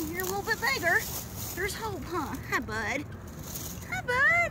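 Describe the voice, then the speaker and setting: The speech moves at a fairly slow pace, with a dry sound that has no echo but loud background noise. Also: woman. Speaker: fishing vlogger. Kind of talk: casual vlog chat. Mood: cheerful, playful. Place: waterside. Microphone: phone near.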